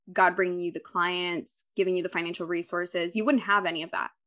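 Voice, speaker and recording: A woman speaks very fast in a bright, sharp tone with fairly even intonation against a quiet background. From Dominican heritage. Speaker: podcast host and grant consultant. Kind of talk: casual interview.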